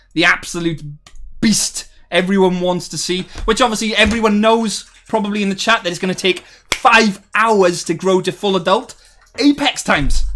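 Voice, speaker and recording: A man's raised, projected voice at a high pitch, with ordinary pitch variation and music in the background. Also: moderate pace. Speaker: gaming streamer. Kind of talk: live stream chat. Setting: live stream. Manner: animated.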